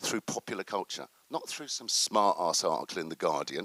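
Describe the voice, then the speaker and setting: With a bright, sharp tone and vocal fry, a man swings very widely in pitch in a dry, close recording with no echo. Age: 60s. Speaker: activist and panel speaker. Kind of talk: conference talk. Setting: stage with audience. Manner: animated.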